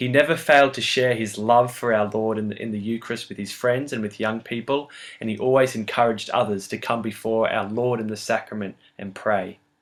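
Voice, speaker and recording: With an Australian accent, a man speaks at a fairly quick pace, his medium-pitched voice keeping a fairly even intonation. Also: hardly any pauses. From Australia (Brisbane). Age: 20s. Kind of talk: competition video talk about a saint.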